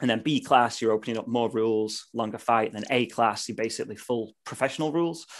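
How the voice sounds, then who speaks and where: A man with a British accent talks very fast at medium pitch with fairly even intonation and hardly any pauses, over a quiet background. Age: 30s. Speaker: martial artist and vegan YouTuber. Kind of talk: casual chat.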